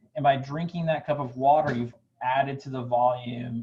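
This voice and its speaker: A man's somewhat breathy, dark, mellow voice at a moderate pace with fairly even intonation. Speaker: dietitian. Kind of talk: cooking demo and health tips. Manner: words slur together.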